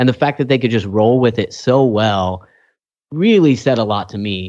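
Over a quiet background, a man with a plain, everyday voice talks at a moderate pace and medium pitch with ordinary pitch variation. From California Central Valley, Kingsburg. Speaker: podcast host. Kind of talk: casual chat.

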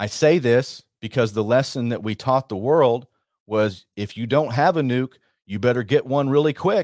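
With an American accent and a normal speaking voice, a man speaks at a moderate pace with ordinary pitch variation, in a very clean recording with a silent background and a dry, close sound with no echo. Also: medium pitch for a man. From Texas. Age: 40s. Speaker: radio host and war veteran. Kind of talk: radio monologue.

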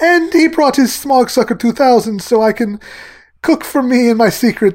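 A put-on character voice with a fairly high pitch comes at a moderate pace.

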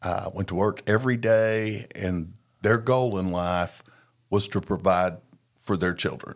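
A man with an American accent has an ordinary speaking voice. He speaks at a fairly slow pace on a very clean recording with a silent background. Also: fairly low pitch for a man, fairly even intonation. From Oklahoma. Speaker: recovering addict. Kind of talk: testimony.

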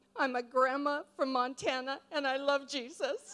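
Putting on a squeaky character voice, a woman speaks high in pitch at a moderate pace.

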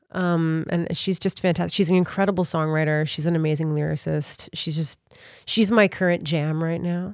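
A woman with an unremarkable speaking voice talks at a moderate pace with fairly low pitch and fairly even intonation, in a very clean recording with a silent background. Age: 30s. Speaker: singer-songwriter. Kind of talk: casual chat. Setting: studio.

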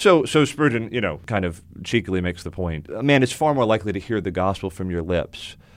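Against a silent background in a very clean recording, a man with a plain, everyday voice and an American accent speaks at a fairly quick pace, his fairly low pitch carried by lively intonation. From US South, South Florida. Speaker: pastor. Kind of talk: interview. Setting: studio.

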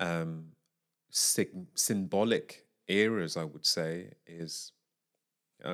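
A man's very deep, low voice in a British accent, with ordinary pitch variation, on a very clean recording against a silent background. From UK. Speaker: jazz vocalist and composer. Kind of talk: casual interview chat. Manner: halting.

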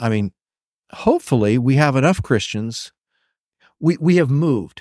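The recording is very clean, with a silent background and a dry, close sound with no echo, as a man speaks at a moderate pace. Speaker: pastor. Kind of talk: casual conversation about faith and technology. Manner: fluid speaker.

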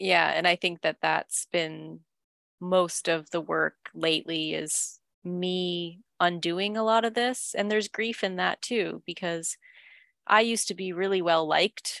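A woman with a Canadian accent has a plain, everyday voice, fairly low in pitch, at a fairly slow pace. Her intonation is fairly even, in a dry, close sound with no echo. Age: 30s. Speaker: author. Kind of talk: casual chat.

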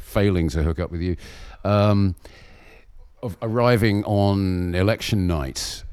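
The speaker is a man with a southern English accent. His pitch is very deep and low. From southern England, Berkshire. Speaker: Buddhist monk. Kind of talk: interview. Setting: remote call.

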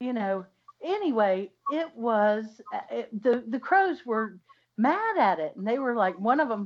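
Speaking at a fairly slow pace, a woman uses lively intonation and a fairly high pitch. Hers is an unremarkable speaking voice. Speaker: podcast co-host. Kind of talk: casual chat.

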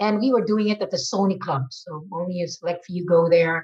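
A somewhat breathy woman at a moderate pace. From Philippines. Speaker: marketing executive. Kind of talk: interview. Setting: video call.

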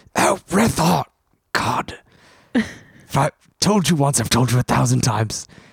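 In a put-on character voice, the speaker talks at a fairly slow pace with a low-to-middle pitch and long, frequent pauses. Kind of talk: dramatic, put-on. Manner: exasperated, theatrical.

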